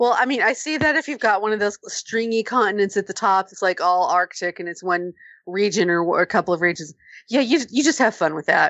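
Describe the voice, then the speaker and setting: A woman talks in a normal speaking voice at a medium pitch. Her pace is fairly quick and her intonation lively. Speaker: podcast panelist. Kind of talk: casual chat.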